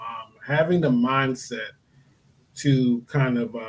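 A man's fairly high voice comes across somewhat breathy. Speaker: branding expert. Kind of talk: casual interview chat. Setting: online video call.

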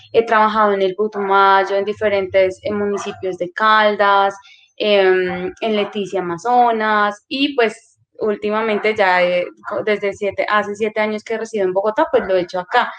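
Here is a normal speaking voice, a woman's at medium pitch. Her intonation is fairly even and her pace moderate. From Colombia, Putumayo. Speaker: social worker, youth center coordinator. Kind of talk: interview.

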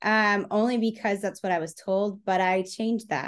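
Against a quiet background, a woman of medium pitch speaks in an American accent at a moderate pace with monotone, flat intonation. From Texas. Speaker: speed painter and performance artist. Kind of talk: interview, casual chat.

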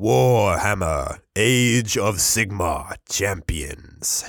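In a raspy, put-on character voice, a man speaks very slowly at a fairly low pitch. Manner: dorky, dramatic.

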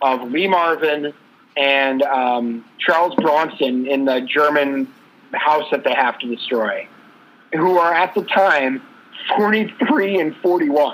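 With an ordinary speaking voice, a man speaks at a fairly slow pace and fairly high pitch, showing ordinary pitch variation. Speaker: co-host. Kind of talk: casual sports talk podcast.

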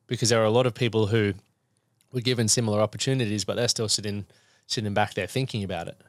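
With an Australian accent, a man talks very fast at a fairly low pitch and fairly even intonation. The recording is very clean, with a silent background. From Queensland, Australia (Toowoomba). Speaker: men's fitness and mindset coach. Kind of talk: casual interview. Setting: podcast studio.

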